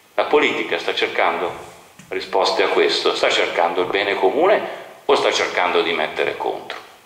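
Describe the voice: Amid strong room echo, a man with a low, fairly bright voice speaks at a moderate pace with lively intonation.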